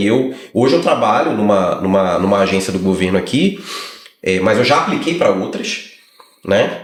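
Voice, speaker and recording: A man speaks at a medium pitch with lively intonation. There is audible room echo. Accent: strong Brazilian. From Brazil. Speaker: lawyer. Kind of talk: casual chat.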